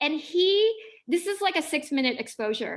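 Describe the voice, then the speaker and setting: A woman's raised, projected voice with an American accent, extremely high pitch, very wide pitch swings and a bright, sharp tone. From Philippines, then Los Angeles. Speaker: visiting artist and educator. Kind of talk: lecture. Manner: casual, conversational.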